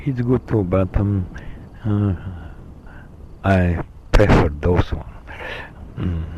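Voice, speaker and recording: A man with a Slovenian accent talks at a very slow pace in a very deep, low voice, with ordinary pitch variation. Long pauses come often, and background noise is noticeable. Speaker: vlogger. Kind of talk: solo monologue recording. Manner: halting, many fillers.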